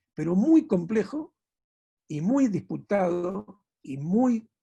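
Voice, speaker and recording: With a dark, mellow tone, a man speaks at a high pitch that moves in very wide swings. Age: 60s. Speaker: visual artist. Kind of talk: panel talk. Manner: halting, many self-corrections.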